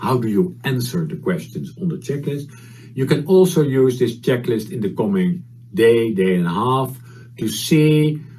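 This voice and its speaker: A man with a Dutch accent speaks at a fairly slow pace, his medium-pitched voice somewhat breathy. His pitch swings very widely, and the room echo is audible. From Netherlands. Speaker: HR consultant and conference speaker. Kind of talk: conference presentation. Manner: halting, many fillers.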